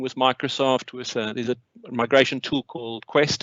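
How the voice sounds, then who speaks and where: With a South African accent, a man talks at a medium pitch. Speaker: company CEO and co-founder. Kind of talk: webinar presentation. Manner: hesitant, many fillers.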